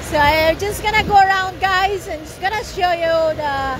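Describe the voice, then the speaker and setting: A woman's extremely high voice at a fairly slow pace, with ordinary pitch variation and noticeable background noise. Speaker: family vlogger. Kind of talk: casual vlog chat. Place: street. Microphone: phone near.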